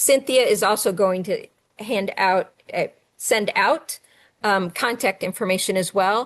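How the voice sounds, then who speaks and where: A woman with a plain, everyday voice speaks at a fairly slow pace. Her pitch is medium, with ordinary variation. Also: quiet background. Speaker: STEM coordinator and educator. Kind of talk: webinar presentation.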